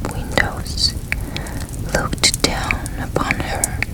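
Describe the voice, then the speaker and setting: Noticeable background noise accompanies a whisper delivered very slowly. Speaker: ASMR storyteller. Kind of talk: whispered story reading, ASMR. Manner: whispered.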